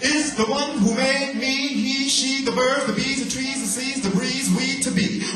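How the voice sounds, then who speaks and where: A man talks with a raised, projected voice at an extremely high pitch. He goes at a fairly slow pace, with music playing in the background. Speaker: spoken word poet. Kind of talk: live spoken word poetry performance. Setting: live venue with audience. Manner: rhythmic, forceful.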